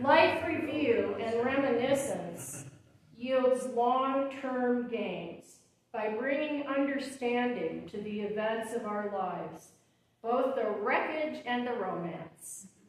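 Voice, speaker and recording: With lively intonation, a high-pitched woman talks at a very slow pace. Noticeable background noise runs underneath. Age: 70s. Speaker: poet and memoir author. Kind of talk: book reading talk. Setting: event with audience.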